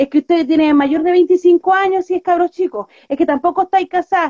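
With a dry, close sound and no echo, a woman in a Chilean accent talks at a fairly quick pace, her extremely high voice carrying a dark, mellow tone and lively intonation. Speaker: activist. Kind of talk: casual chat.

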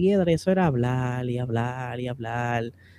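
In a dry, close sound with no echo, a man with a dark, mellow tone speaks with very wide pitch swings. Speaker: podcast co-host, motorsport content creator. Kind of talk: casual chat.

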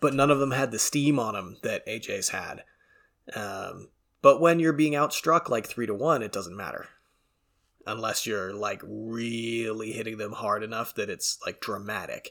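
Heard on a very clean recording with a silent background, a man speaks in a normal speaking voice at medium pitch with ordinary pitch variation. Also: moderate pace. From Canada. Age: 20s. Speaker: MMA podcast host. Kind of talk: casual solo commentary. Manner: casual, stumbling.

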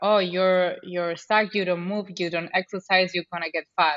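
A woman at medium pitch with a Spanish accent and fairly even intonation. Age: 20s. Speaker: podcast host. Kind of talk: podcast interview.

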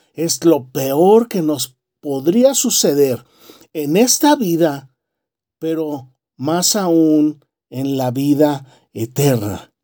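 A man's fairly high voice, warm and solemn in tone, dark and mellow, with lively intonation. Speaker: preacher. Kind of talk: sermon. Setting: church. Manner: fervent, earnest pulpit delivery with emphatic repetition; warm, exhorting, measured and solemn.

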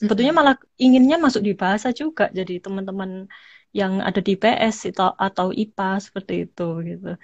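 The voice is somewhat breathy, with lively intonation and a fairly quick pace. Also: woman, medium pitch for a woman. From Malang, East Java, Indonesia. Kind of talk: casual interview.

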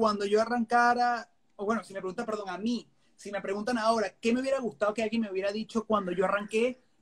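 Very fast and monotone, with flat intonation, a man speaks at a high pitch. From Venezuela. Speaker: podcast host, filmmaker. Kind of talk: casual interview chat. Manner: halting, many repetitions.

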